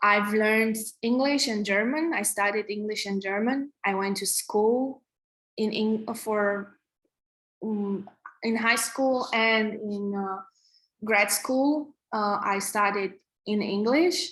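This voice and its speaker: Very slow speech in a Romanian accent, with ordinary pitch variation. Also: woman, fairly high pitch for a woman. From Romania, Transylvania. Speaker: app developer and tech co-founder teaching coding. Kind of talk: online coding workshop. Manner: halting with many restarts and fillers.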